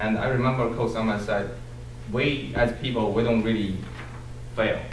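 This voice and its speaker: A man with a Chinese accent at very even loudness, amid noticeable background noise and audible room echo. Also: medium pitch for a man, fairly even intonation, moderate pace. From China. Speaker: Toastmasters club member, student. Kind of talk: farewell speech. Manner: halting.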